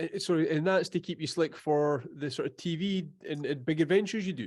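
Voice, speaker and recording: Quick-paced for the most part, a man talks at a fairly high pitch. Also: ordinary pitch variation. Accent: Edinburgh. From Scotland, Edinburgh. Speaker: podcast host. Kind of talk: casual chat.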